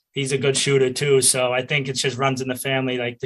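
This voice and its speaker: Bright and sharp in tone, the voice rushes at a very fast pace with monotone, flat intonation and a Boston accent. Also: man. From Boston area, US Northeast. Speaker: college lacrosse player. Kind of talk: interview.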